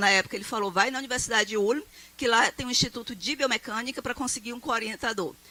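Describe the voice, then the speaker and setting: Over noticeable background noise, a woman talks at a very fast pace. Her pitch is high, with ordinary variation. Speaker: professor. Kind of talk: lecture. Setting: stage with audience.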